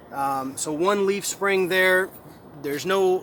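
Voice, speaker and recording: A man speaks with a high pitch and a fairly even intonation. Background noise is noticeable throughout. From Mexico. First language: Spanish. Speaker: missionary pilot. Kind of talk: personal testimony; informal walkthrough explanation. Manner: halting, many fillers and repeats.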